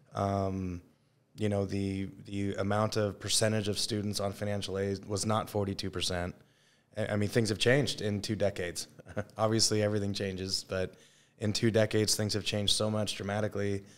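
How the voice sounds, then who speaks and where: A man's fairly low voice, fairly quick, in a monotone, flat delivery. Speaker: high school football coach. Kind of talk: casual interview. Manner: fast.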